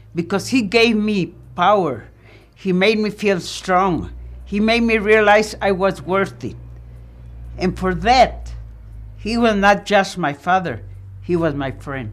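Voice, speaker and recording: The voice has vocal fry and moves at a very slow pace. Long, frequent pauses break it up. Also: woman, medium pitch for a woman, ordinary pitch variation. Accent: American. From El Paso, Texas. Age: 80s. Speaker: interviewee recounting her life. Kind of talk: personal testimony.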